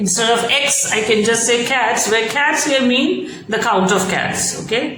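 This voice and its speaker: Over noticeable background noise and audible room echo, a woman speaks at a fairly slow pace with a fairly high pitch. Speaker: programming tutor. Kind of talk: tutorial.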